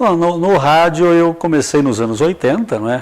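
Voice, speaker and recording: Background noise is clearly present as a man talks at an even, middling speed, his intonation full of movement. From southwestern Paraná, Brazil (Capanema). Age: 60s. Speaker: radio and TV broadcaster. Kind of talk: interview.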